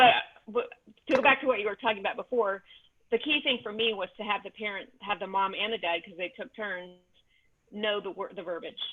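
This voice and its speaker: A woman with a medium pitch talks at a fairly quick pace, using ordinary pitch variation, long, frequent pauses and big swings in loudness. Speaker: orientation and mobility instructor. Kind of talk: virtual discussion session. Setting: video call. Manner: halting, many fillers.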